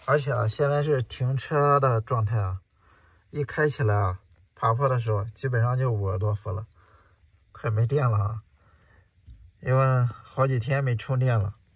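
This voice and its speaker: In a dry sound with no echo and a quiet background, a somewhat breathy man speaks at a moderate pace with ordinary pitch variation and long, frequent pauses. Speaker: travel vlogger. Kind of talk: casual vlog chat. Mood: worried about battery and slopes. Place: motorbike. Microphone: phone near.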